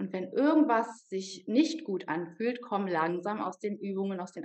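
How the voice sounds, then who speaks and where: A woman speaks at a moderate pace and medium pitch with lively intonation. It is an ordinary speaking voice. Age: 30s. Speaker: yoga teacher. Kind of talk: interview.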